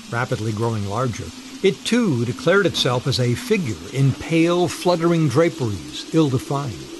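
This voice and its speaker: Noticeable background noise accompanies a man speaking at a moderate pace, his fairly high pitch marked by very wide pitch swings. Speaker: narrator of ghost stories. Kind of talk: ghost story narration, classic literary horror reading.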